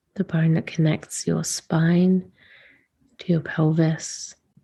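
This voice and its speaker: A woman speaks very slowly at a fairly low pitch, somewhat breathy, with a dark, mellow, soothing tone. Her intonation stays monotone and flat. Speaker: podcast host, womb-wellness / sacred feminine teacher. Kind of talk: guided womb meditation. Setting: recorded late, not in usual recording space, casual home setup. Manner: slow, soft, soothing, with long pauses.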